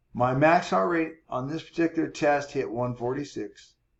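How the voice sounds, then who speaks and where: A man's fairly high voice at a fairly slow pace, with lively intonation. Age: 60s. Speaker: fitness coach. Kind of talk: tutorial. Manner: casual, explanatory.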